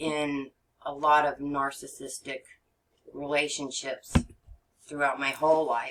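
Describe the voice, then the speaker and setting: With an American accent, a woman speaks at a moderate pace in a very deep, low pitch, her intonation monotone and flat. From Texas. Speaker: regression therapist. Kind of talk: podcast interview. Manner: halting, many fillers.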